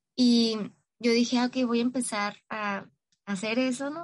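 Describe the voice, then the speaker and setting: A woman with a northern Mexican accent speaks with a fairly high pitch and ordinary pitch variation. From Mexico, Tijuana, Baja California. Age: 20s. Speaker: psychologist sharing recovery story. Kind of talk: personal testimony interview.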